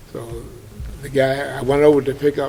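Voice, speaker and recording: Noticeable background noise is present as a man talks. Audible room echo follows his words. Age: 80s+. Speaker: war veteran. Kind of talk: interview storytelling.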